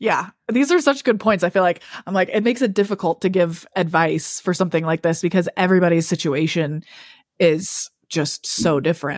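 Animated and fairly quick, a woman with an American accent speaks at a fairly low pitch with ordinary pitch variation and very even loudness, in a dry, close sound with no echo on a very clean recording with a silent background. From Utah, Salt Lake City area. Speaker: podcast co-host, content creator. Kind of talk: casual chat. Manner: animated, frequent laughter.

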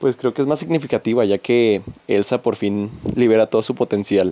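In a Mexican accent, a man speaks with a relaxed, dark, mellow tone at medium pitch, in a dry, close sound with no echo. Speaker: podcaster. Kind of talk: casual monologue. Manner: informal, relaxed.

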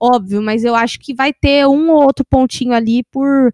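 This woman has an unremarkable speaking voice, pitched fairly high, at a moderate pace. Her intonation stays fairly even. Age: 20s. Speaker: podcast host. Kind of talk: casual chat.

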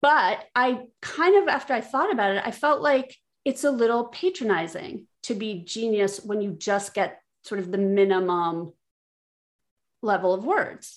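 In an unremarkable speaking voice, a woman with an American accent talks at a fairly high pitch and fairly slow pace with lively intonation. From not from Philadelphia. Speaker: guest game player. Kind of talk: casual chat.

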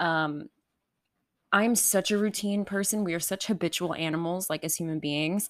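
A woman with an American accent uses a plain, everyday voice, speaking at a moderate pace with fairly low pitch and ordinary pitch variation. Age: 20s. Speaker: podcast host. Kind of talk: casual solo chat. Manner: casual, filler-heavy.

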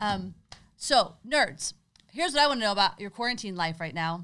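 Animated and bright, a woman speaks at a moderate pace in a medium pitch with a sharp tone. Her pitch swings very widely. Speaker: podcast co-host. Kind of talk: casual chat. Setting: home garage. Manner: animated, laughing often.

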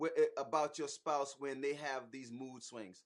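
Speech moves at a fairly slow pace with an American accent. The intonation is lively and the tone is animated. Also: man. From US South, Charleston, South Carolina. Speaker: marriage ministry host, husband. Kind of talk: casual live stream chat with personal testimony. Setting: online live stream.

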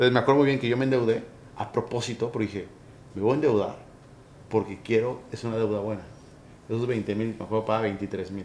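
The man talks at a fairly quick pace, with medium pitch and fairly even intonation. Long pauses come often. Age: 30s. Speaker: podcast host. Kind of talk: interview. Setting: office.

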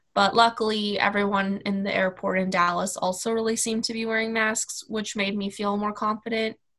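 A woman speaks at a fairly quick pace with an American accent. Her medium-pitched voice stays monotone and flat. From US Midwest, Kansas City. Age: 20s. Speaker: travel blogger. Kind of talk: casual interview.

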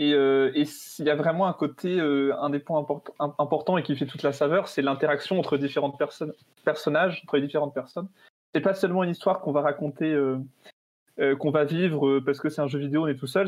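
A man at a fairly high pitch and fairly quick pace. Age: 20s. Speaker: business school student and game creator. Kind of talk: casual chat.

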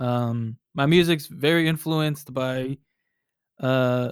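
With an American accent and a fairly high pitch, a man talks at a very slow pace with fairly even intonation, in a dry, close sound with no echo. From Texas, Dallas area. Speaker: DJ and producer. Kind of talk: casual interview.

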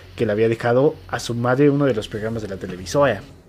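Speaking very fast, a man delivers his lines. His voice has a medium pitch. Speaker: podcast co-host. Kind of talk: reading aloud; casual chat.

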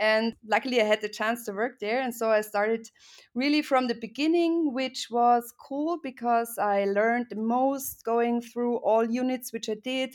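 A woman speaks at a moderate pace with an Austrian accent. Her pitch sits high, and her intonation stays fairly even. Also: very clean recording, silent background. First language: German. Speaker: startup CEO, former journalist. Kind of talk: casual interview.

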